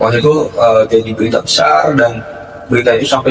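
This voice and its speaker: A man with a Sundanese accent talks very fast over noticeable background noise. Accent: Sundanese-accented Indonesian. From West Java (Kuningan), Sundanese. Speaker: student union president. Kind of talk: casual interview. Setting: studio podcast. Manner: hesitant, many fillers.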